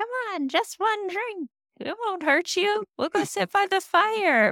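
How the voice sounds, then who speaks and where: A woman's put-on character voice, extremely high in pitch and fairly slow in pace. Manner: coaxing, tempting.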